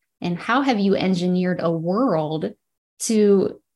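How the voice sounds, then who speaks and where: In an unremarkable speaking voice, the delivery is fairly slow with lively intonation. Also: woman. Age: 40s. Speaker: podcast host. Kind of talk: interview conversation. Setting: video call.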